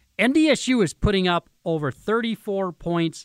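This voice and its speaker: With ordinary pitch variation, a man talks in an American accent. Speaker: sports radio host. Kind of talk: pregame sports radio talk: hyped, folksy preview of the playoff game. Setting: radio studio. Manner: animated, energetic, conversational fan-style patter with local slang.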